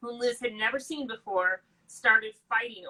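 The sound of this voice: Reading done in an unforced voice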